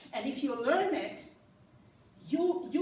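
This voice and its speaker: Speaking at a very slow pace with lively intonation, a woman with a German accent is heard through audible room echo. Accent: non-native, German. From Germany. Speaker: business coach. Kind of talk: presentation. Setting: live webinar with in-room audience. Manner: animated.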